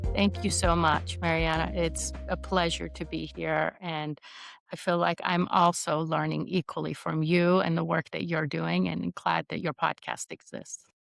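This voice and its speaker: Music plays behind a woman speaking at a fairly slow pace. The sound is dry and close with no echo. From Iran. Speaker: leadership coach. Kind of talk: interview conversation.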